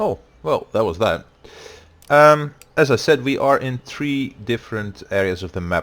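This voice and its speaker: A man of medium pitch speaks with a Dutch accent, his pitch swinging very widely between long, frequent pauses. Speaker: gaming YouTuber. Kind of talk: let's play commentary. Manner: hesitant with many fillers.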